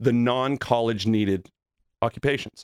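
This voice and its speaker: An unremarkable speaking voice, a man's at medium pitch, moves at a fairly slow pace in a very clean recording with a silent background and a dry, close sound with no echo. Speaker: contractor and TV host. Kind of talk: casual interview chat.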